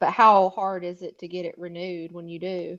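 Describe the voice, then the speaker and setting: With an American accent, the speaker talks at a moderate pace in a monotone, flat intonation. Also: woman. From US South, South Carolina. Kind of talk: casual chat.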